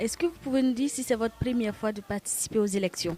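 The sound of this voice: Speaking at a fairly quick pace, a woman has a fairly high pitch, a dark, mellow tone and ordinary pitch variation.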